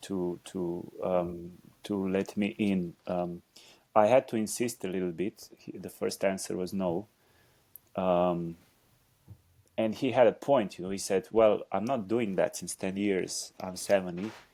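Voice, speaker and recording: In a Slovenian accent, a man talks at a fairly slow pace and fairly low pitch, with a dark, mellow tone. His intonation is fairly even, and the recording is very clean with a silent background. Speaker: dancer and choreographer. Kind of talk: interview conversation. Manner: halting.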